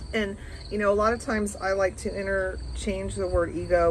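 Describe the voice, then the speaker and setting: In a room with audible echo and noticeable background noise, a woman talks at a fairly quick pace. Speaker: spiritual teacher. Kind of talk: reading aloud with commentary. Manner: gentle.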